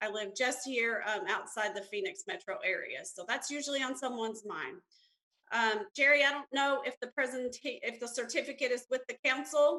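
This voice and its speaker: With an Alabama accent, a woman projects a raised, high-pitched voice with a bright, sharp tone and lively intonation at a moderate pace, the sound dry and close with no echo. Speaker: census bureau representative. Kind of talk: presentation to city council.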